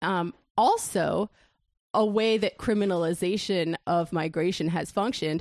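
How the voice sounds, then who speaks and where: A woman with an unremarkable speaking voice talks at a fairly slow pace, her medium pitch showing ordinary variation. The sound is dry and close with no echo. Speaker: co-host. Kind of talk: casual banter.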